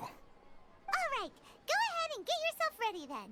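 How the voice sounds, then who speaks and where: A squeaky, put-on character voice at an extremely high pitch, with very wide pitch swings and a moderate pace. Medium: video game.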